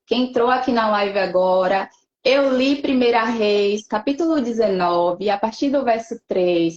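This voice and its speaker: With an ordinary speaking voice, a woman talks at a moderate pace, fairly high in pitch and lively in intonation. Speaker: psychoanalyst giving a talk on depression. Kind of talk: educational talk in a church live stream. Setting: online live stream.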